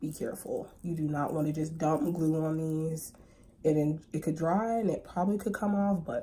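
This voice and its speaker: With a very deep, low pitch and a somewhat breathy quality, a woman speaks at a moderate pace with ordinary pitch variation. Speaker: lash brand owner and makeup tutorial creator. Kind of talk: makeup tutorial talk to camera. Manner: casual, chatty.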